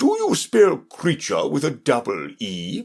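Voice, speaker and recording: A man in a put-on character voice at a fairly slow pace. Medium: read story. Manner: nervous, muttering.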